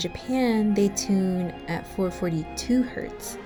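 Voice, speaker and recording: Music plays in the background as a woman speaks with an American accent. Her pitch is medium, with ordinary variation. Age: 20s. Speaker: exchange student. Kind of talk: scripted narration.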